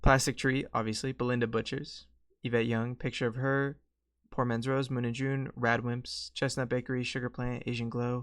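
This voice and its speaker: Against a quiet background, a man with an American accent speaks in a monotone, flat intonation. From Colorado, US. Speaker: streamer. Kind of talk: casual chat. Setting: live stream. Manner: rambling, hesitant; loud. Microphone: close to the mic.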